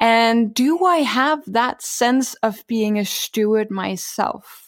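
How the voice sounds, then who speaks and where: On a very clean recording with a silent background, a woman with a Danish accent speaks with ordinary pitch variation. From Denmark. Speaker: author and sustainability leader. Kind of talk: interview.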